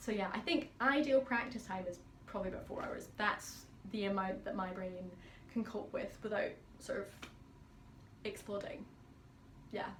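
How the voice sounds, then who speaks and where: Audible room echo surrounds a woman's fairly high voice as she speaks with long, frequent pauses. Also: ordinary pitch variation, moderate pace. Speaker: pianist. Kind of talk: casual Q&A vlog. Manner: chatty.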